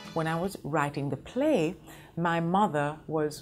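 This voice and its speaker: A woman talks with a Jamaican accent. Her pace is fairly slow. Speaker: actress and playwright. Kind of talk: interview.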